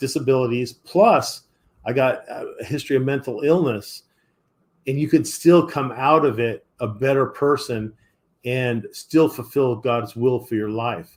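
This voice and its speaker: Fairly slow delivery from a man, pitch varying in an ordinary way. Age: 60s. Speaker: retired police officer. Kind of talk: testimony. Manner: halting.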